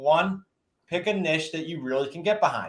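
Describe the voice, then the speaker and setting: In a Boston accent, a man speaks with an energetic tone at a fairly high pitch. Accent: New England (Boston-area). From New England. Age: 50s. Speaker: real estate investing coach. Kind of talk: podcast interview. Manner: fast.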